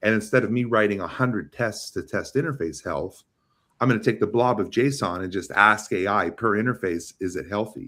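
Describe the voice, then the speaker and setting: A man talks fairly quickly in an animated tone, his fairly low pitch showing ordinary variation. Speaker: AI and developer relations lead in networking. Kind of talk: casual chat. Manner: fast.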